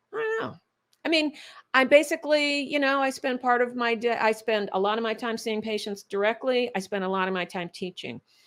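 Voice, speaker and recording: Here is a woman with a normal speaking voice at a fairly high pitch. She talks at a fairly quick pace with ordinary pitch variation. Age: 60s. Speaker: functional medicine doctor. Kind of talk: interview conversation.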